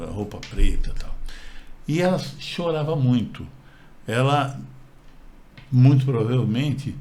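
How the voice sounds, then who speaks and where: A man speaks fairly slowly in a medium pitch with a dark, mellow tone, ordinary pitch variation, and a somewhat breathy quality. Long, frequent pauses break up his speech, and room echo is audible. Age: 60s. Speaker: channel co-host. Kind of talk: personal storytelling. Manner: halting, with repetitions.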